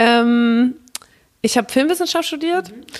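A woman talks with an unremarkable speaking voice. Her pace is moderate and her pitch varies in an ordinary way. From Mainz area, Rhineland-Palatinate. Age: 30s. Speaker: café owner. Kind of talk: interview.

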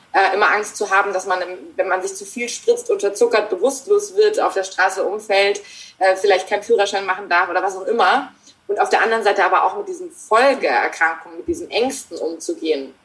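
A woman speaking at a fairly quick pace against noticeable background noise. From Germany. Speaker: author and mindfulness trainer. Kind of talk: interview. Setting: remote call.

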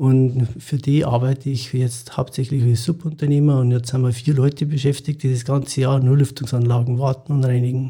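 A man with a Munich accent speaks at a fairly quick pace with hardly any pauses, his somewhat breathy voice dark and mellow in tone, flat and monotone, at a very even loudness. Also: medium pitch for a man. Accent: Bavarian (Munich) dialect. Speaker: chimney sweep and ventilation cleaning business owner. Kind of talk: interview. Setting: studio.

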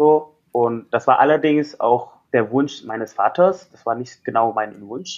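Speaking with an Indonesian accent at medium pitch and a fairly slow pace, a man uses ordinary pitch variation while his loudness swings a lot. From Indonesia, Jakarta. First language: Indonesian (speaking German). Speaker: life coach. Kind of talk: interview.

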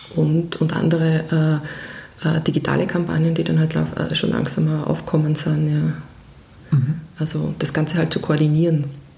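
Noticeable background noise and audible room echo surround the recording. A woman talks over it at a fairly slow pace. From Austria, Vienna. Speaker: music PR specialist. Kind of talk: interview. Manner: halting, many fillers.

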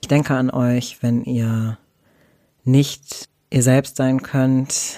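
A man talks at a very slow pace in a dark, mellow tone. His intonation is monotone and flat. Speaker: podcast host. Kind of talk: solo podcast monologue.

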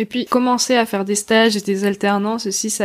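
A woman speaks in a plain, everyday voice at a medium pitch, with fairly even intonation. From Alsace, France. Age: 20s. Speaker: podcaster. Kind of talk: interview.

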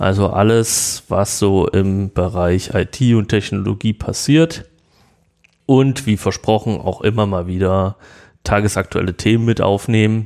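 The recording is very clean, with a silent background. An ordinary speaking voice moves at a fairly slow pace. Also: man, fairly low pitch for a man, ordinary pitch variation, very even loudness. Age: 30s. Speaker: podcast host, IT entrepreneur. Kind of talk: podcast introduction monologue.

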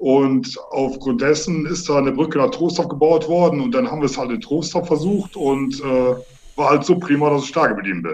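At a moderate pace, a man with a fairly high pitch and lively intonation speaks in an unremarkable speaking voice. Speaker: amateur football player and coach. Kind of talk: interview. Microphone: unstable line, tinny satellite sound.

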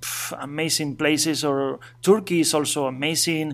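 This man's speech moves fairly slowly. He has a Spanish accent. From Asturias, northern Spain. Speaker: bike traveler and dog trainer. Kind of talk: interview. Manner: halting.

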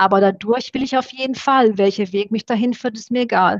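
This woman has a plain, everyday voice. Her intonation stays fairly even. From Romania (Satu Mare), moved to Germany at 12. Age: 40s. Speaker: former Olympic fencer. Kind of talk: podcast interview.

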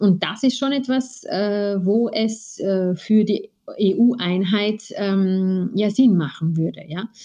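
A woman's somewhat breathy voice, dark and mellow in tone, at a medium pitch and a very slow pace. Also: ordinary pitch variation. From Austria. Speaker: lawyer. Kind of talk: interview. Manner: hesitant, many fillers.

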